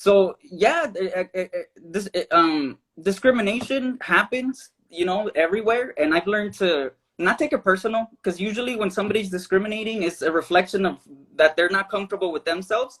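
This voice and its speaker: The man's voice is high-pitched, with ordinary pitch variation. He moves along at a fairly quick pace. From Tijuana and Los Angeles. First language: Spanish. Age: 20s. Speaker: filmmaker. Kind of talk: interview. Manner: halting.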